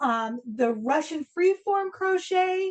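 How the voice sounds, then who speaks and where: A woman at a very slow pace, lively in intonation. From Argentina. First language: Spanish. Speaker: interviewer. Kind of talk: interview.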